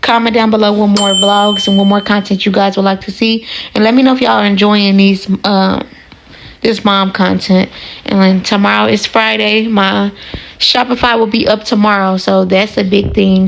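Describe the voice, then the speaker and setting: Noticeable background noise sits behind a woman at medium pitch. She speaks in a monotone, flat way at a moderate pace. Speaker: vlogger, mother. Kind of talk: casual vlog.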